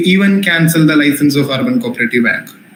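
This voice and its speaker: Through audible room echo and noticeable background noise, a man with a Keralan accent talks at a fairly quick pace and fairly high pitch with lively intonation. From Kerala, India. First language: Malayalam. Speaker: teacher. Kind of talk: lecture. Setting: live online class.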